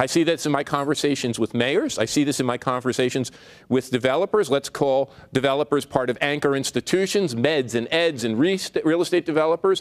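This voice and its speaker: A man speaks at a fairly quick pace with a fairly high pitch and ordinary pitch variation. His loudness stays very even, and the sound is dry and close with no echo. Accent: New Jersey. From New Jersey, Newark. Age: 60s. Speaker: urban studies author. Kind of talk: keynote speech.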